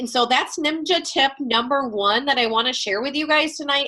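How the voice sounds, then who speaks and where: A woman's high, raised and projected voice, bright and sharp, at a moderate pace with ordinary pitch variation. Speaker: network marketing team leader. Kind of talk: team training call. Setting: video call. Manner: loud and chatty.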